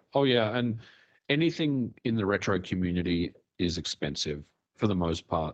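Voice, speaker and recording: A man with an ordinary speaking voice, fairly low in pitch, talks at a moderate pace with lively intonation. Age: 40s. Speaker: retro gaming YouTuber. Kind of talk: interview conversation.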